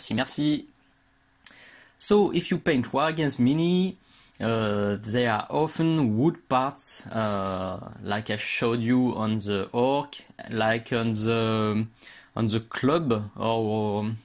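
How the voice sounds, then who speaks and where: A man speaks very slowly in a French accent, his pitch medium and his intonation varying in an ordinary way. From France. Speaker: miniature painting tutor. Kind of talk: tutorial. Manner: halting, many hesitations.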